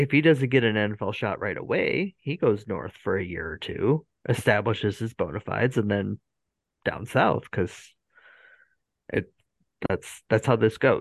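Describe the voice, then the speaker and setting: With an American accent and lively intonation, the speaker moves at a moderate pace with long, frequent pauses, in a dry, close sound with no echo and a quiet background. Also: man, medium pitch for a man. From United States. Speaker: podcast host. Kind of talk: casual chat.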